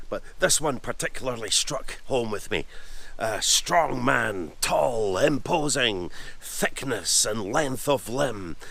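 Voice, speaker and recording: With a Scottish accent, a man talks at a very slow pace. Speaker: history presenter. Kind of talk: documentary talk to camera on location. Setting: outdoors.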